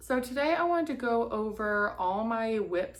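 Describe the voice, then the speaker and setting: A woman is talking. Her speech carries an American accent. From Massachusetts. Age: 20s. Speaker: crafter vlogger. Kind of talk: casual vlog.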